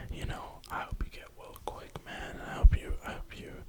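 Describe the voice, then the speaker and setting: Someone whispers with an American accent at a moderate pace. Noticeable background noise runs underneath. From New York (Brooklyn). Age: 20s. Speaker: ASMR creator. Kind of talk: whisper ramble. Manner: whispering.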